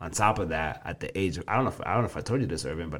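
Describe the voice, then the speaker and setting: A man speaks with vocal fry. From Kenya. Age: 20s. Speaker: personal trainer. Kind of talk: casual interview.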